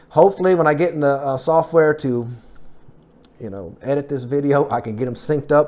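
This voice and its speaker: Big swings in loudness mark a man's fairly high voice, which moves at a fairly quick pace with ordinary pitch variation. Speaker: fitness vlogger. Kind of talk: casual vlog update. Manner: fast; halting.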